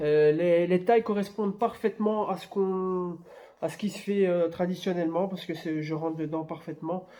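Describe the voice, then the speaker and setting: A dark, mellow tone in a man's high voice. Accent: Belgian. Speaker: YouTuber. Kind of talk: product unboxing review. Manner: hesitant, many fillers.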